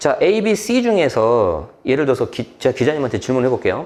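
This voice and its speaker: A man at a fairly high pitch, talking at a fairly quick pace with very wide pitch swings and vocal fry. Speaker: real estate tax expert. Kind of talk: explanatory interview. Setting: live show studio. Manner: fast.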